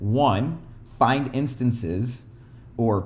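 Somewhat breathy, a man speaks at medium pitch. His intonation is lively. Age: 20s. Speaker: self-help podcast host. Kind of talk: casual monologue. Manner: conversational with frequent fillers.

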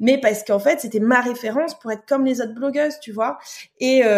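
Pitch varies in the ordinary way in a plain, everyday voice. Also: woman. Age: 30s. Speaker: Instagram content creator sharing weight loss journey. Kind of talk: casual chat.

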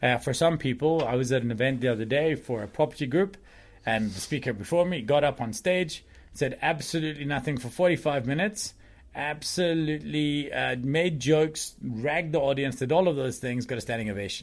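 This is an ordinary speaking voice, a man's, fairly high in pitch with ordinary pitch variation. He talks at a fairly quick pace in a very clean recording with a silent background. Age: 40s. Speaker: presentation consultant. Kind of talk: casual chat.

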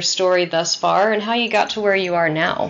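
With noticeable background noise, a woman speaks at a moderate pace in an American accent. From Texas, north of Houston. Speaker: podcast host. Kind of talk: interview.

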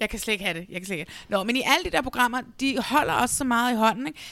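This woman's voice has a bright, sharp tone. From Denmark, South Zealand (Næstved). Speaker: podcast host. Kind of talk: casual chat. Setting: video call.

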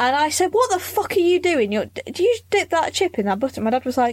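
A woman with a British accent talks very fast at a high pitch, her voice making very wide pitch swings. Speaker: podcast host. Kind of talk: casual chat, comedy podcast.

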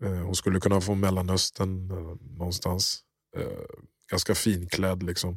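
In a very clean recording with a silent background, a man speaks in a very deep, low, monotone voice with flat intonation. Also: fairly slow pace. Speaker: podcast host. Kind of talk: casual chat.

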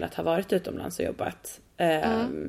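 A woman is speaking. Her pace is fairly quick. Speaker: podcast host. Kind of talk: casual chat. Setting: at home, remote call. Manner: animated.

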